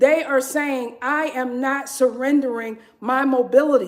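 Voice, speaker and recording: A woman speaks at a fairly slow pace in a high voice. Her intonation stays fairly even. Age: 40s. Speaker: fitness livestreamer. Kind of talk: live workout stream chat.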